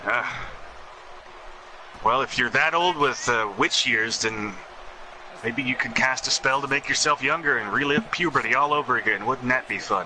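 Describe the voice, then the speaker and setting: Over noticeable background noise, a man with a medium pitch and ordinary pitch variation talks at a moderate pace with long, frequent pauses. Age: 20s. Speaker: wrestling game commentator. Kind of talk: live commentary.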